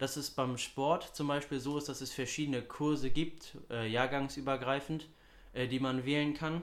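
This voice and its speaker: A man talks in a normal speaking voice. His pitch is fairly high and his pace moderate. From Hamburg, northern Germany. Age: young. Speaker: student podcast co-host. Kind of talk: casual chat.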